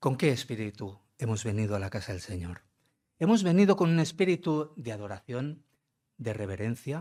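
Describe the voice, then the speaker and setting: In a dark, mellow tone, a somewhat breathy man talks at a moderate pace with very wide pitch swings, captured in a very clean recording with a silent background. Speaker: visiting pastor. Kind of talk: sermon. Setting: church. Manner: conversational, addresses congregation directly.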